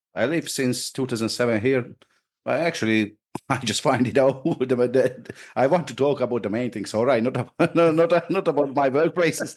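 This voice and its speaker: Speaking with a Hungarian accent, a man uses a medium pitch, ordinary pitch variation and a moderate pace. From Hungary. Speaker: hunter. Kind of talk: interview. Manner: halting.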